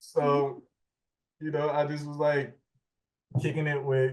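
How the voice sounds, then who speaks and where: A man is speaking. He has a New Orleans accent. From New Orleans, seventh ward. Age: 30s. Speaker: interviewee. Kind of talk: casual interview. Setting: video call.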